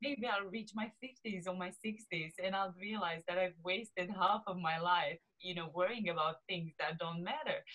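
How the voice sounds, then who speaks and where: A woman's medium-pitched voice with a Romanian accent, ordinary pitch variation and a moderate pace, with hardly any pauses. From Romania, small southeast city. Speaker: lifestyle coach. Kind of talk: interview chat.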